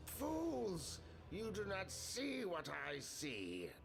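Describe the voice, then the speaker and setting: A man's put-on character voice at a very slow pace, over loud background noise. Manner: howling.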